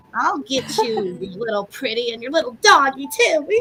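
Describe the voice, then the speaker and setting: High pitch and a moderate pace in a woman's put-on character voice. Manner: menacing, cackling.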